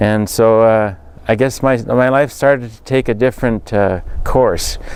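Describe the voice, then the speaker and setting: Fairly even intonation marks a man's medium-pitched voice. He speaks at a fairly slow pace. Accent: western Canadian. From rural central Alberta, Canada. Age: 50s. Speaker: political candidate. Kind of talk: interview. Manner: halting, many fillers.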